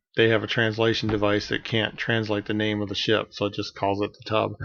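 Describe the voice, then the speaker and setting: A man speaks in a soft-spoken way. His pitch is fairly low. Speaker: amateur web show host and author. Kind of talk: casual vlog monologue. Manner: soft-spoken, hard to hear; hesitant, many fillers.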